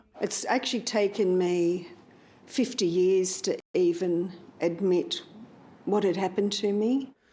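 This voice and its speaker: With an Australian accent, a woman speaks at medium pitch with ordinary pitch variation and very even loudness, leaving long, frequent pauses. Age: 70s. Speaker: abuse survivor. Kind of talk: interview testimony.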